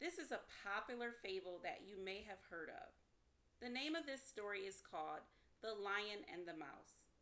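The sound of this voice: Someone reads the text aloud. Their delivery is an unforced reading voice.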